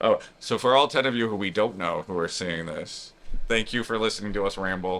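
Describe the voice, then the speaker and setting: A man mumbles at a fairly quick pace in a fairly low voice with ordinary pitch variation. The recording is very clean, with a silent background. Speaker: cruise vlogger. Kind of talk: casual chat. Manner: mumbling.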